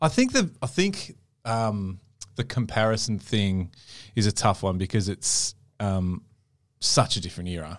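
The recording is very clean, with a silent background. A man with an Australian accent talks at a fairly slow pace, leaving long, frequent pauses. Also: fairly low pitch for a man, ordinary pitch variation. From Melbourne, Australia. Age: 30s. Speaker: podcast host. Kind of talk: casual chat.

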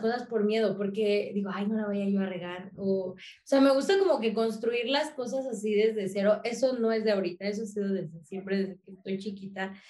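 A woman with a fairly high voice speaks at a moderate pace, and some room echo can be heard. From Mexico, working-class neighbourhood. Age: 20s. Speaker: content creator and comedian. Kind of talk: casual interview chat.

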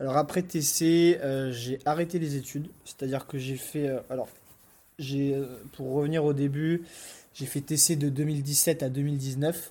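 At a very slow pace, a man speaks monotone and flat, with a fairly high pitch and a dark, mellow tone. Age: 20s. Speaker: entrepreneur. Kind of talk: casual interview chat.

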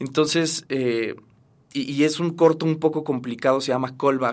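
A man speaks at a fairly slow pace with fairly even intonation. He has an unremarkable speaking voice. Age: 30s. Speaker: actor. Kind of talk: interview.

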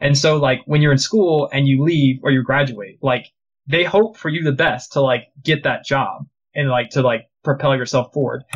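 Somewhat breathy, a man with an American accent talks at a fairly high pitch and moderate pace with ordinary pitch variation. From United States. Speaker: game artist and studio founder. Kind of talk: casual interview.

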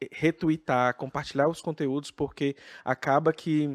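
In a very clean recording with a silent background and a dry, close sound with no echo, a man with a fairly high voice speaks at a moderate pace in a monotone, flat intonation. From Brazil, interior of Minas Gerais. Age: 30s. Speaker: drag queen and health sciences professor. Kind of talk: casual interview chat.

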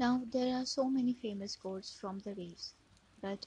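A woman's somewhat breathy voice, its intonation fairly even. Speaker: poetry podcast host. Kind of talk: reading aloud literary prose.

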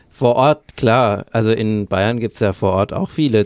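A man talks in an ordinary speaking voice, fairly low in pitch, at a fairly slow pace with ordinary pitch variation. The recording is very clean and silent behind him, with a dry, close sound and no echo. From Bavaria, Lower Franconia. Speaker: podcast co-host. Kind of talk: casual chat.

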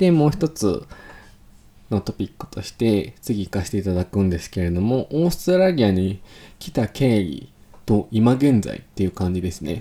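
A man talks at a moderate pace in a fairly low pitch, with a dark, mellow tone. His pitch swings very widely. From Japan, Kanagawa (Fujisawa). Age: 20s. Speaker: podcast host. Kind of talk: casual solo podcast monologue. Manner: animated; stumbles over words.

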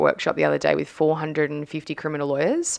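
This woman speaks with an Australian accent. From Australia, Sydney northern beaches. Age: 20s. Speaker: former sprinter, trainer and podcaster. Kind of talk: casual interview chat.

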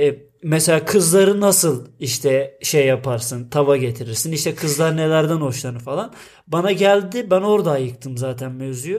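Speaking at a moderate pace with hardly any pauses, a man uses a normal speaking voice with a fairly high pitch and lively intonation, in a very clean recording with a silent background. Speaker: podcast co-host. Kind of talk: casual chat.

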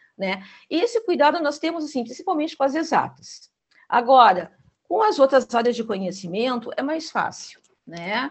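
A woman's high-pitched voice moves at a moderate pace. It swings very widely in pitch. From Rio Grande do Sul, Brazil. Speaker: school teaching coordinator. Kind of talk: interview.

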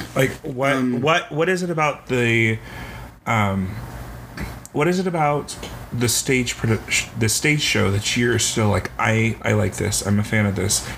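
A man talks at a moderate pace and medium pitch with lively intonation. His loudness stays very even against noticeable background noise. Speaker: podcast co-host. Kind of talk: casual chat. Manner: animated ranting.

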